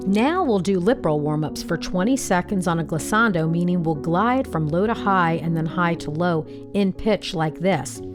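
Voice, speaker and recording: A woman's fairly low voice with lively intonation and hardly any pauses, over music in the background. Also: moderate pace. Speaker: voice coach. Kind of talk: vocal warm-up instruction.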